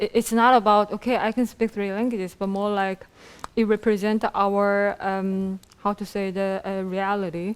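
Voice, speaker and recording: A woman speaks with a Korean accent at a fairly slow pace. Her pitch is medium and her intonation monotone and flat. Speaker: program director and event host. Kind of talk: casual chat on a cooking talk show. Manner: hesitant, many filler sounds.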